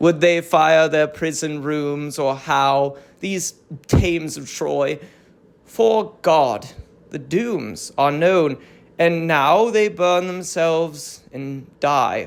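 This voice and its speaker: In a put-on character voice at a middle pitch, the speaker sounds strained and goes at a very slow pace. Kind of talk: classical tragic verse. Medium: read story. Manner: formal, constrained.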